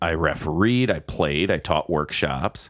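In a very clean recording with a silent background, a man with an American accent talks at a fairly slow pace with lively intonation and vocal fry. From US Midwest, Milwaukee. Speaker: improv performer and instructor. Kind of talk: casual chat.

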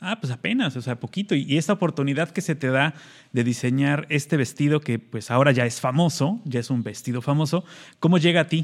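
Fairly quick male speech, fairly high in pitch, with ordinary variation in pitch. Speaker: radio co-host. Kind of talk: casual chat. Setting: video call.

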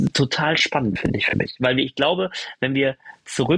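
A fairly high-pitched man at a moderate pace with lively intonation, in a dry, close sound with no echo. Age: 30s. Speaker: wedding speaker. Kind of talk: casual chat.

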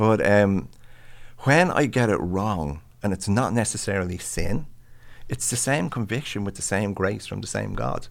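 With an Irish accent, a man talks at a moderate pace in a fairly low pitch, his lively intonation touched by vocal fry. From Ireland. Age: 60s. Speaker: pastor and mental health professional. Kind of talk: casual interview conversation. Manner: animated, self-deprecating humor.

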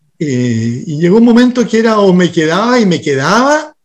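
At a moderate pace, a man with a high pitch speaks in very wide pitch swings. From Chile. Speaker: restaurant co-owner and sustainability activist. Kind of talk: interview.

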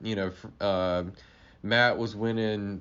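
A man speaks with an American accent. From US South, Florida Panhandle. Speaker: golf industry manager. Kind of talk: casual interview. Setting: trade show.

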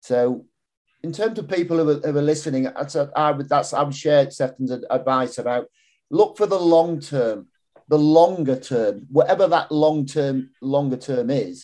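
A man's dark, mellow voice, fairly high in pitch, with ordinary pitch variation, a fairly slow pace and a quiet background. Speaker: podcast host. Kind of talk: interview conversation.

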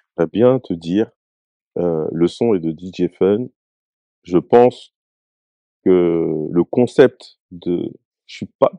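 Pausing long and often at a very slow pace, a man speaks in a very deep, low pitch and a dark, mellow tone, with ordinary pitch variation and big swings in loudness. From France, Bondy (Seine-Saint-Denis, Paris suburbs). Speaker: rapper. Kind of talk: casual interview chat.

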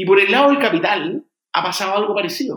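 A bright, sharp tone with a Chilean accent at a moderate pace. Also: man. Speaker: fintech founder and entrepreneur. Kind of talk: interview. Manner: halting with frequent repetitions.

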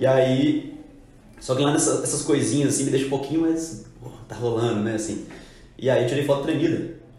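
Speech in a Minas Gerais accent comes at a moderate pace with fairly even intonation. Audible room echo and noticeable background noise are present. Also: man, fairly high pitch for a man. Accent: Minas Gerais Portuguese (mineiro). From Minas Gerais, Belo Horizonte. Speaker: clothing brand co-founder. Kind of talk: casual chat.

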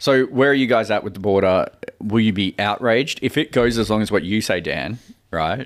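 Fairly low-pitched male voice at a fairly quick pace, with ordinary pitch variation. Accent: Australian. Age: 30s. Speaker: podcast co-host. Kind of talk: casual chat.

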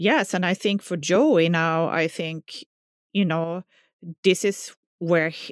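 With a Swedish accent, a woman speaks fairly slowly at a fairly low pitch and fairly even intonation, in a very clean recording with a silent background and a dry, close sound with no echo. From southern Sweden. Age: 40s. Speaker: music teacher. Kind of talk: personal testimony.

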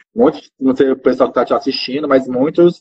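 A man speaks at a fairly quick pace in a normal speaking voice. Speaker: marketing manager and game designer. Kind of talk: interview.

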